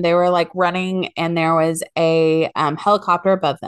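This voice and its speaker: A woman's plain, everyday voice at medium pitch and moderate pace, against a quiet background. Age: 30s. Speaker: podcast co-host. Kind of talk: casual chat.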